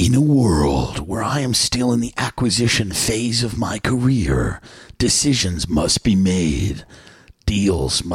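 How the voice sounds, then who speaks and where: Putting on a character voice, a man speaks at a fairly slow pace and a fairly low pitch, with very wide pitch swings. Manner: grandiose, dramatic.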